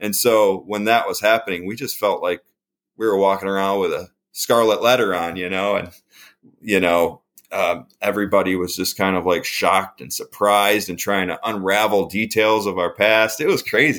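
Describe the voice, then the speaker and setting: A man with an American accent speaks in a normal speaking voice, fairly low in pitch and fairly even in intonation. The pace is moderate, and the recording is very clean with a silent background. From upstate New York. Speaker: rock musician. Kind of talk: interview testimony. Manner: casual, many fillers.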